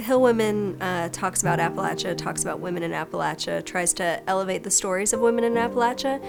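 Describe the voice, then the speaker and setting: With music in the background, a woman of medium pitch speaks at a very fast pace with hardly any pauses and ordinary pitch variation. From Appalachia, Kentucky. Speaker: author, attorney. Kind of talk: interview answer.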